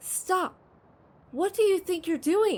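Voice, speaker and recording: A woman performs a loud, put-on character voice. Her pitch is extremely high. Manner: angry, commanding.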